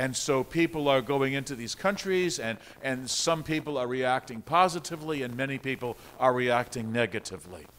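Talking at a fairly quick pace, a man shows ordinary pitch variation. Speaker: pastor. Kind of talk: sermon. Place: church.

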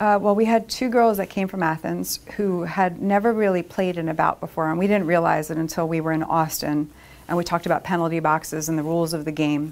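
Barely pausing at all, a woman rushes along at a very fast pace in a fairly low voice. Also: ordinary pitch variation. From Upper Darby, Pennsylvania, USA. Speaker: roller derby skater and attorney. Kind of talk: interview answer. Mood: warm, proud, nostalgic. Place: meeting room.

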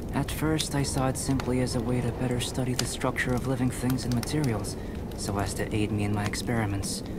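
The speech moves at a fairly quick pace. Loud background noise surrounds a dry sound with no echo. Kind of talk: calm character dialogue. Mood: calm, gentle, polite.

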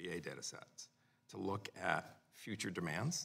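A man talks in a very deep, low voice. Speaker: witness. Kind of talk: hearing testimony answer. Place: hall. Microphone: podium.

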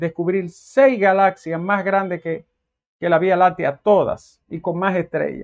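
Against a quiet background, a man with a high pitch talks at a fairly slow pace. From Dominican Republic. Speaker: commentator. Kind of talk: monologue. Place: home room. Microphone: lapel.

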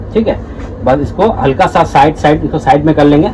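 Moderate pace from a man, light noise in the background. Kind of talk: tutorial. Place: shop. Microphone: phone near.

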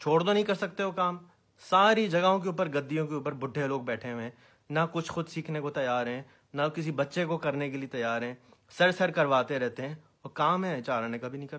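In an animated tone, a man speaks with a fairly high pitch and ordinary pitch variation against a quiet background. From Pakistan, Karachi; Pakistan. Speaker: social activist; social commentator. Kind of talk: video monologue. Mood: earnest, somewhat critical. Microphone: phone near.

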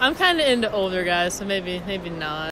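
Speaking at a fairly slow pace, a woman lets her pitch swing widely up and down. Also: fairly bright tone.

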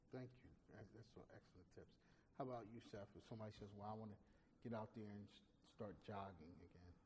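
A man speaks with a fairly low pitch and a somewhat breathy voice. His speech has long, frequent pauses. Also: fairly even intonation, fairly quick pace. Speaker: talk show host. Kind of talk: interview.

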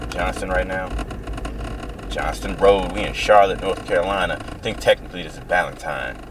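Noticeable background noise sits under this man's voice. He talks at a fairly quick pace, with big swings in loudness. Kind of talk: casual vlog chat. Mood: relaxed, joking. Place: car. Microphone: camera far.

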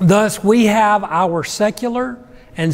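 The speaker is a man with ordinary pitch variation. His delivery is very slow. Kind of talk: sermon. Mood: warm, reflective. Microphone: lapel.

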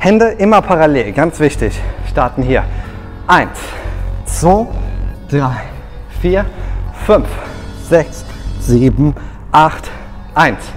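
Faint music plays in the background as a man speaks at a very slow pace with long, frequent pauses. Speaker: fitness instructor. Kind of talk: workout instruction with counting. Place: gym.

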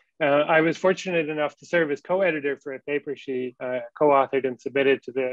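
Talking at a fairly quick pace, a man uses an ordinary speaking voice with ordinary pitch variation. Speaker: academic introducing the lecturer. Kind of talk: formal introduction. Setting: video call.

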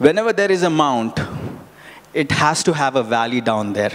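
At a moderate pace, a man speaks in a fairly high pitch with very wide pitch swings and long, frequent pauses. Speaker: preacher. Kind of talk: sermon with live congregation interaction, Bible reading and teaching. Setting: church with congregation. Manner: conversational, repeats words and phrases, halting, asks audience questions; earnest, encouraging. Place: church. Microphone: handheld.

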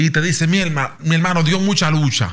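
A man's somewhat breathy voice. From Dominican Republic. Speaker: podcast host; podcast guest. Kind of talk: casual chat. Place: studio. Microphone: studio mic.

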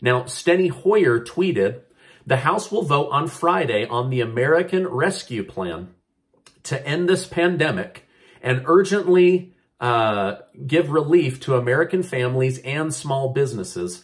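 Against a quiet background, a man speaks fairly slowly in a somewhat breathy voice with very wide pitch swings. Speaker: news vlogger. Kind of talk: news commentary vlog. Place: home room. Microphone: phone near.

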